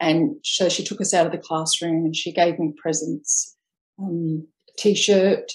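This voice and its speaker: This woman speaks with an Australian accent. Her pace is fairly slow and her intonation fairly even. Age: 50s. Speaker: ex-Jehovah's Witness sharing her story. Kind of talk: interview testimony. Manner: halting.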